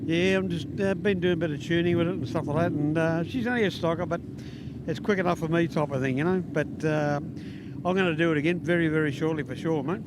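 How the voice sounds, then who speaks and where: Over noticeable background noise and audible room echo, a man with an Australian accent talks at a very fast pace in a high voice. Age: 60s. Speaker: spectator and amateur drag racer. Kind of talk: trackside interview. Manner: halting.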